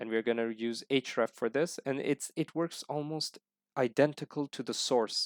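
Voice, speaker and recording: On a very clean recording with a silent background and a dry, close sound with no echo, a man speaks with a non-native accent. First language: not English. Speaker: programming tutorial teacher. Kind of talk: screen-recorded coding tutorial. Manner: halting, many fillers; casual, friendly.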